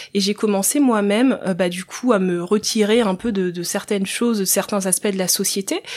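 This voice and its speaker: A woman's normal speaking voice, medium in pitch with ordinary pitch variation, at a moderate pace. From Central African Republic, then France from age 8. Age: 30s. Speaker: social entrepreneur, former nurse. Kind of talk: podcast interview.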